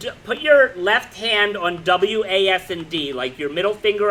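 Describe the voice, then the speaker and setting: Loud and animated, a man talks at a fairly slow pace in a bright, sharp tone. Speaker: middle school teacher. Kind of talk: classroom instruction.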